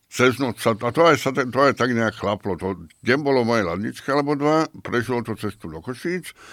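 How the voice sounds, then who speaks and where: In a plain, everyday voice with lively intonation and hardly any pauses, the speaker comes through in a very clean recording against a silent background. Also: man, medium pitch for a man, moderate pace. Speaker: beer taster. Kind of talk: casual chat.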